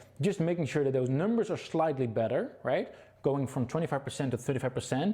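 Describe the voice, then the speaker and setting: Somewhat breathy, this voice moves at a very fast pace with lively intonation. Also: man. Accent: Dutch. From Netherlands. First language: Dutch. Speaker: webinar presenter. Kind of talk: sales pitch. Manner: halting.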